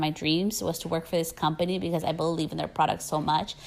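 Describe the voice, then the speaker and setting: With an American accent, a woman talks very fast in a fairly low pitch and a monotone, flat delivery. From California. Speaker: hairstylist and educator. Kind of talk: casual podcast talk.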